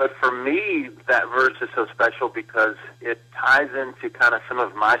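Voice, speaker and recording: This is a man talking. He speaks with a Texas accent. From Texas, Blanco. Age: 40s. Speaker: pastor. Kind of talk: interview. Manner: halting, many fillers and repeats.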